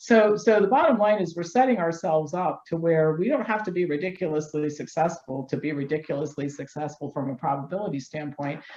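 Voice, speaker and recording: Against noticeable background noise, a woman with an American accent and fairly low pitch talks at a fairly quick pace with lively intonation and hardly any pauses. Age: 60s. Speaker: health doctor and activist. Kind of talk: interview. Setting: studio.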